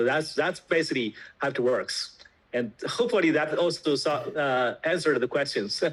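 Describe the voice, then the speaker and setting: A man's fairly high voice in a Chinese accent, with lively intonation, a moderate pace and very even loudness. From China. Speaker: tech company founder. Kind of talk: interview explanation. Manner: hesitant, many fillers.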